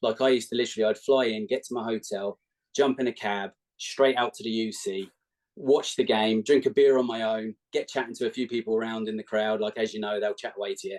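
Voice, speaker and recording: A man with an English accent speaks very fast at a medium pitch with fairly even intonation. The sound is dry and close, with no echo. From England, Milton Keynes. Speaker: basketball fan, podcast guest. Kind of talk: casual chat.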